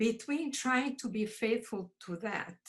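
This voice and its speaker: Speaking at a very slow pace, a woman with a Croatian accent sounds somewhat breathy, her pitch fairly high with ordinary variation. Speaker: poet, audience member asking questions. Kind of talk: casual discussion.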